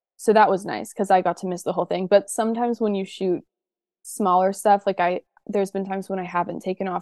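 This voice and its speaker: A woman's medium-pitched voice with an American accent, very fast pace, monotone, flat intonation, and a dry, close sound with no echo. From US South, Georgia (Atlanta area). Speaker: actress. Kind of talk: casual interview.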